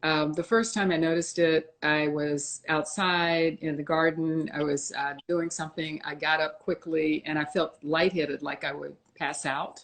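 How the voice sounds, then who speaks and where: The speech moves at a moderate pace with fairly even intonation and hardly any pauses. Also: woman, very deep, low pitch for a woman. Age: 70s. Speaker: author and health advocate. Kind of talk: interview, personal story. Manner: hesitant, many fillers.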